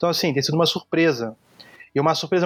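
The man's voice sits at a fairly high pitch. His intonation stays fairly even. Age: 30s. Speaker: graphic designer. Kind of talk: casual interview.

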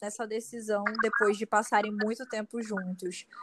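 A woman's fairly high voice comes across in a monotone, flat intonation, with a dry, close sound and no echo. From Manaus, Amazonas, Brazil. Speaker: content creator. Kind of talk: casual interview.

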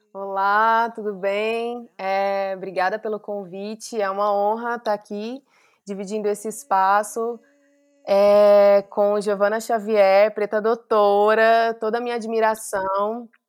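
A woman speaks very slowly in a medium-pitched, flat monotone. The recording is very clean with a silent background. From Brazil, Mato Grosso. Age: 30s. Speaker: artist and fashion designer. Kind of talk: interview conversation.

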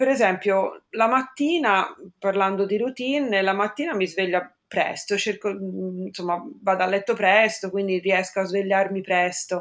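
At a medium pitch, a woman speaks with ordinary pitch variation. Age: 50s. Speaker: office worker, client sharing weight-loss story. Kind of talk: interview testimony.

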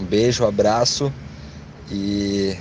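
Through noticeable background noise, a man with a fairly low pitch and ordinary pitch variation speaks at a very slow pace. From Rio Grande do Sul, Brazil (Canoas). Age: 20s. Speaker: listener giving testimony. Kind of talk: recorded testimony.

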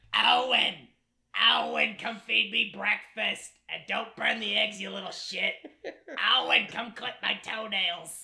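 This is a put-on character voice, raspy and shouting. It moves at a fairly slow pace. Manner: yelling.

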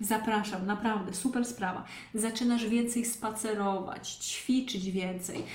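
The intonation is fairly even, heard through audible room echo and noticeable background noise. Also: woman. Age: 30s. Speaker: online fitness coach. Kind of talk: live-streamed podcast monologue. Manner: casual.

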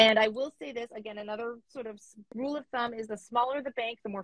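Somewhat breathy, a woman with a Canadian accent is heard in a dry, close sound with no echo. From Canada. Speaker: money coach. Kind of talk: interview. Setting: online call.

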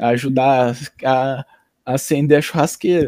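The speech moves at a fairly slow pace in a dry, close sound with no echo. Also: man. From Paraná, Brazil (Londrina). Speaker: podcast guest, friend of host. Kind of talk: casual interview chat.

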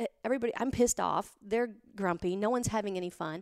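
Recorded very cleanly against a silent background, a woman with a fairly high pitch speaks with lively intonation in a dry, close sound with no echo. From Montana, US. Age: 40s. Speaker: author and financial advisor. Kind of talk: interview conversation.

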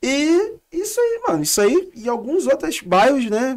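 This man's voice is extremely high in pitch, swinging very widely as he speaks at a fairly slow pace. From Rio de Janeiro, Realengo (west zone). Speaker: visual artist. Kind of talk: casual interview chat.

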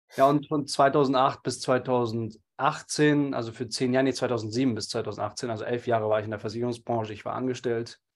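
This is a man with an ordinary speaking voice, medium in pitch and fairly even in intonation, at a moderate pace. He takes hardly any pauses against a quiet background. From Munich, Germany. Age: 30s. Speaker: entrepreneur and public speaker. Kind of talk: interview conversation.

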